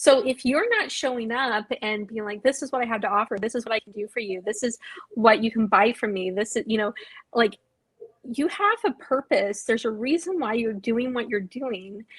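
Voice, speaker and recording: Heard with a dry, close sound and no echo, a woman with a normal speaking voice talks at a moderate pace in a fairly high pitch, with ordinary pitch variation and big swings in loudness. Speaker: marketing and branding consultant. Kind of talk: live video discussion.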